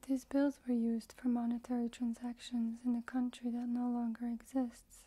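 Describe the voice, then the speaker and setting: Soft-spoken and at a moderate pace, the voice has a dark, mellow tone and monotone, flat intonation. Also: woman, high pitch for a woman. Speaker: ASMR role-play forensic instructor. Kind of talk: ASMR forensic tutorial narration. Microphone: studio mic.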